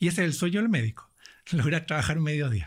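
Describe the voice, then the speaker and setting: This is an ordinary speaking voice with lively intonation. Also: man. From southern Chile. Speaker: financial coach. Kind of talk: interview.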